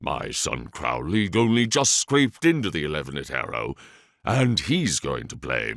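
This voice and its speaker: A man's put-on character voice with very wide pitch swings, at a moderate pace, in a very clean recording with a silent background. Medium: read story. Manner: dry, courteous, slightly sly.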